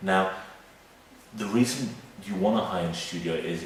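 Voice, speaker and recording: A quiet man with fairly even intonation, noticeable background noise and audible room echo. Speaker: video marketing consultant. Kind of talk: casual video walkthrough. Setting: client's office studio.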